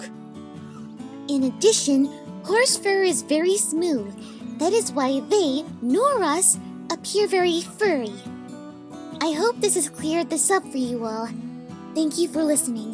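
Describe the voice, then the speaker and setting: A cartoonish, female-sounding character voice at a fairly slow pace, with clear music in the background. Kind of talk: explanatory talk to viewers.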